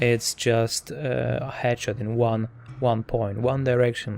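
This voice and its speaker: A man talks very slowly at a medium pitch, in a flat, monotone delivery with a non-native accent. Noticeable background noise runs underneath. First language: not English. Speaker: tech reviewer. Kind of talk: product review tutorial. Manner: hesitant, many fillers and repeats.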